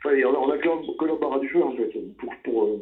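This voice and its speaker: A man delivers his words at a fairly slow pace. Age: 50s. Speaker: jazz saxophonist. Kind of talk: interview. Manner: halting, many repetitions and fillers.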